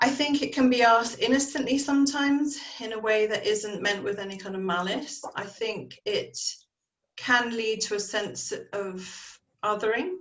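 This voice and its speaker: A woman with an English accent, fairly high in pitch with ordinary pitch variation, at a fairly slow pace, with audible room echo. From England, Dorset. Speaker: panelist. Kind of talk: panel discussion.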